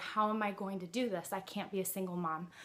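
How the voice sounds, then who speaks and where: A woman with an unremarkable speaking voice talks at a moderate pace, her medium pitch held in fairly even intonation. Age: 20s. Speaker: widowed mother. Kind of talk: casual talk to camera.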